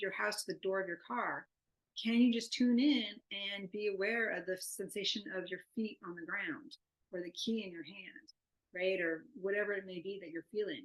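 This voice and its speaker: The speaker is a woman with a medium pitch. Her pitch varies in an ordinary way. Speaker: neuroscience researcher. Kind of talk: lecture. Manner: fast.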